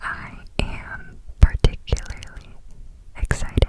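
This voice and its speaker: The voice is whispering. Noticeable background noise is audible. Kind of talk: whisper ramble, ASMR book talk; ASMR. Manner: whispered.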